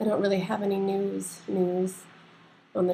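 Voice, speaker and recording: Soft-spoken and somewhat breathy, a woman talks at a fairly slow pace with a dark, mellow tone and fairly even intonation. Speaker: vlogger sharing health updates. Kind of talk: casual video diary. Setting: at home. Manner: halting.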